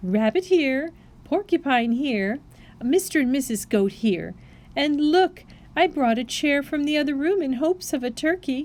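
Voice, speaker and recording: Using a put-on character voice, a woman speaks at a high pitch and a moderate pace with lively intonation. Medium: read story. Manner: gentle, gracious.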